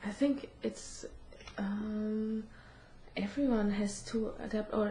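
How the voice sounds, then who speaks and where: A woman's fairly high voice at a very slow pace, over noticeable background noise. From Germany. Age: 20s. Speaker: student. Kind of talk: interview. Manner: halting.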